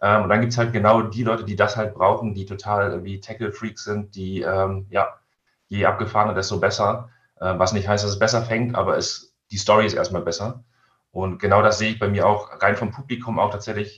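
Against a quiet background, a man speaks in a fairly low, monotone, flat voice at a moderate pace. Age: 30s. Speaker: fishing website editor. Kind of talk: casual interview. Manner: hesitant, many fillers.

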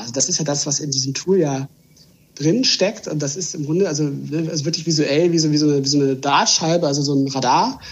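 A man's fairly high voice, marked by ordinary pitch variation, moves at a fairly quick pace. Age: 30s. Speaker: trend consultant. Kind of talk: podcast interview. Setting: video call. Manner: halting, repeats words.

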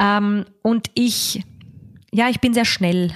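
Speaking at a very slow pace and medium pitch, a woman is heard in a dry, close sound with no echo. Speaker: cabaret artist and musical performer. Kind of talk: interview. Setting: her home in Vienna.

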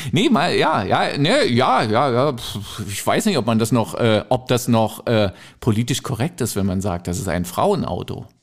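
Speaking at a fairly slow pace with lively intonation, a man has an ordinary speaking voice at a medium pitch on a very clean recording with a silent background. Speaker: podcast co-host, radio presenter. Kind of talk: casual chat.

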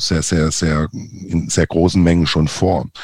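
A man is speaking. His pitch is very deep and low. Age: 40s. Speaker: marketing agency founder. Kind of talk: interview.

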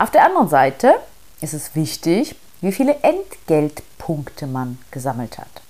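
Her pitch is very deep and low for a woman, yet her intonation is lively. She speaks at a fairly slow pace. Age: 40s. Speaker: podcast host, investment coach. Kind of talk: solo podcast monologue, explainer. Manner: casual, many filler sounds.

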